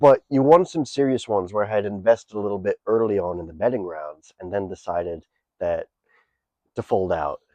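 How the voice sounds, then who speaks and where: Speaking at a fairly quick pace, a man with a fairly low pitch and a dark, mellow tone uses lively intonation and big swings in loudness, in a dry, close sound with no echo. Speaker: podcast host and comedian. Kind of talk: casual chat.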